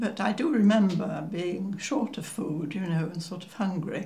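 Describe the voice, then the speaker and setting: Somewhat breathy and at medium pitch, a woman talks at a fairly slow pace with ordinary pitch variation amid audible room echo. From northern England, Cheshire. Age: 90s. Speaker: war-era eyewitness. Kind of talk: oral history interview. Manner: halting, with many fillers.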